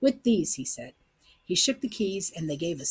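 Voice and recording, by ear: Here a person is reading aloud in a natural voice.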